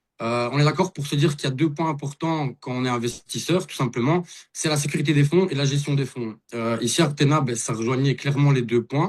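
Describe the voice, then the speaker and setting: With an unremarkable speaking voice, a man talks at a fairly quick pace in a fairly high pitch with ordinary pitch variation. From Belgium. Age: 30s. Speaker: investor and network marketer. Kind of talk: testimony. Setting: video call.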